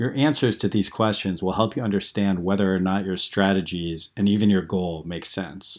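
A man has a normal speaking voice, a fairly low pitch and ordinary pitch variation. He keeps a moderate pace with hardly any pauses, in a very clean recording with a silent background. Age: 40s. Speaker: blogger reading own post. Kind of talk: reading aloud.

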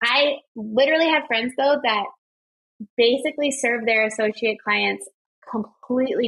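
A woman talks at a moderate pace with ordinary pitch variation. She has an ordinary speaking voice. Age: 20s. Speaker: wedding photographer and business coach. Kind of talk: casual chat.

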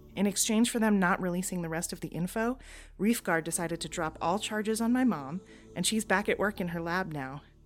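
A woman speaks at a medium pitch while music plays behind her. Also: ordinary pitch variation, fairly quick pace. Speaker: audio drama actor voicing a character. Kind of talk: sci-fi audio drama, in-character log entry monologue. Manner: chatty, animated, sarcastic; casual, confiding, like talking to a friend.

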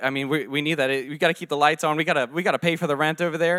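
With an American accent, a man talks in a bright, sharp tone and fairly even intonation. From Virginia, US. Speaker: church plant leader. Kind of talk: testimony.

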